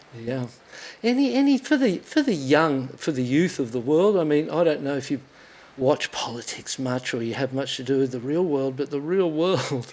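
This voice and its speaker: This man's voice is pitched fairly high. He talks in an Australian accent. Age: 60s. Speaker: podcast host and former pro surfer. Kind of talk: interview conversation. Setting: studio. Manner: animated.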